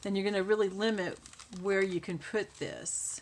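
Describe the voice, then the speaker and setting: Noticeable background noise sits behind a woman speaking at a fairly slow pace in a medium pitch. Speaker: crafting YouTuber. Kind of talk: tutorial. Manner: mumbling; soft-spoken.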